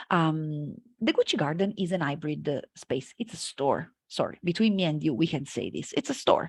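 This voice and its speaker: Speaking at a moderate pace with hardly any pauses, a woman with a very deep, low voice and an Italian accent sounds somewhat breathy and uses lively intonation. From Italy, Florence. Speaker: marketing lecturer. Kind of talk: conference talk. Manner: hesitant, many fillers.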